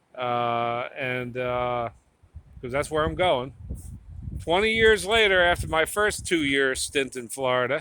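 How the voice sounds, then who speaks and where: With a New Jersey accent, a man speaks at a fairly slow pace and medium pitch. His tone is bright and sharp, with very wide pitch swings. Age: 50s. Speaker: tattoo artist vlogger. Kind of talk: casual vlog monologue. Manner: halting, repetitive.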